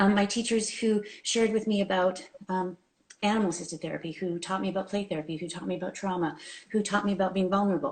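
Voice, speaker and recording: A woman at medium pitch speaks at a very fast pace. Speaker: clinical counsellor. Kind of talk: interview on live video show. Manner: fast when excited.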